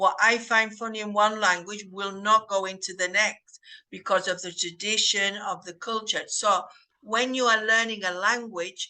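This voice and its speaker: At a moderate pace, a woman speaks in a fairly high, bright, sharp voice with monotone, flat intonation and big swings in loudness. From northern England. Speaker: English teacher. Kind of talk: casual group discussion.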